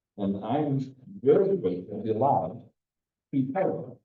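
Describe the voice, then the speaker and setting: A man's medium-pitched voice in an American accent, with very wide pitch swings and audible room echo. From US Midwest. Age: 60s. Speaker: environmental educator. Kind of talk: lecture.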